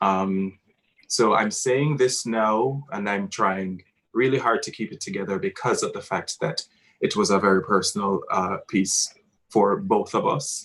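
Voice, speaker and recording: The speaker talks at a fairly slow pace with a Jamaican accent. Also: man. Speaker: theatre director. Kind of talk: post-show talkback. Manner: halting.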